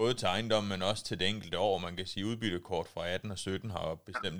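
A man's very deep, low voice at a very fast pace. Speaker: agricultural adviser and podcast host. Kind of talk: casual interview. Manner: hesitant with many fillers.

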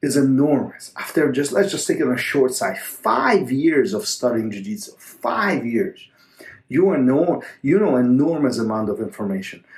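A man speaks at a moderate pace in a medium-pitched voice with very wide pitch swings. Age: 40s. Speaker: jiu-jitsu coach and podcast host. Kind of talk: solo podcast monologue answering a listener question. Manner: halting, with many fillers and repetitions.

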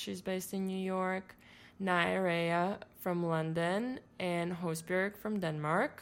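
A woman speaks in a Latvian accent. Her pitch is medium, with ordinary pitch variation. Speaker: fashion showroom agency owner. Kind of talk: interview.

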